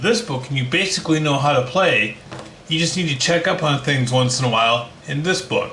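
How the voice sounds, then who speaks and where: A man's fairly high voice at a moderate pace, lively intonation, with noticeable background noise and audible room echo. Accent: Minnesotan. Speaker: board game reviewer. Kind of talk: unboxing video.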